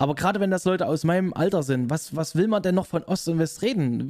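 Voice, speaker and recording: Lively intonation marks this man's normal speaking voice, which is fairly high-pitched and moves at a fairly quick pace. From Saxony, Leipzig. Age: 30s. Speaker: gaming YouTuber and office worker. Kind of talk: casual chat.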